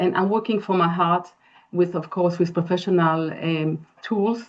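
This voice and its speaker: Speaking with an Israeli accent, a woman uses a fairly low pitch, fairly even intonation and a fairly slow pace. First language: Hebrew. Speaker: interior designer and architect. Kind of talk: webinar presentation. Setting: online webinar.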